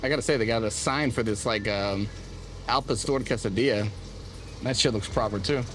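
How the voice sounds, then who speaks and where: A man speaks at a medium pitch and a fairly quick pace, with ordinary pitch variation, very even loudness, long, frequent pauses and audible room echo. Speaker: food vlogger. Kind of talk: casual vlog commentary. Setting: outdoors on a city street. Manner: casual, filler-heavy with frequent 'like'; stutters when filming.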